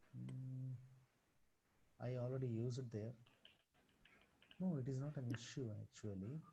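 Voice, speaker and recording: A man's somewhat breathy, dark, mellow tone with fairly even intonation and long, frequent pauses. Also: medium pitch for a man, moderate pace. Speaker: computer science teacher. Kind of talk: online programming tutorial. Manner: soft-spoken.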